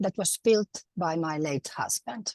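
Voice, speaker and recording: The voice moves at a very slow pace with very wide pitch swings, in a dry, close sound with no echo. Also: woman. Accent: Finnish. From Finland. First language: Finnish. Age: 70s. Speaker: retired housewife, conference speaker. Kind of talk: pre-recorded talk.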